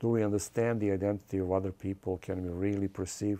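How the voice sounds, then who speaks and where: A man's fairly low, dark, mellow voice with a non-native accent and monotone, flat intonation, on a very clean recording with a silent background. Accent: foreign. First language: not English. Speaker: film director. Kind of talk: interview. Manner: hesitant, frequent uh fillers.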